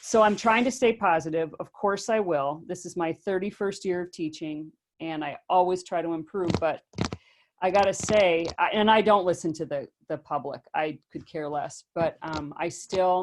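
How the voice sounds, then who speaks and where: A woman speaks with a fairly low pitch. Her pace is moderate and her pitch varies in an ordinary way. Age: 60s. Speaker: teacher. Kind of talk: casual discussion.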